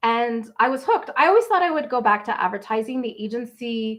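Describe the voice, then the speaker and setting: A woman's fairly high-pitched voice with a Canadian Maritime accent against a quiet background. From Nova Scotia, Canada. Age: 40s. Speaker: travel blogger. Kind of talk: livestream Q&A. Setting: livestream. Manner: casual, chatty.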